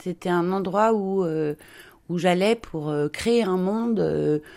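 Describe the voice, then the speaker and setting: Her pitch sits in the middle range for a woman. The recording is very clean and the background is silent. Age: 50s. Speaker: children's book illustrator. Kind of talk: interview.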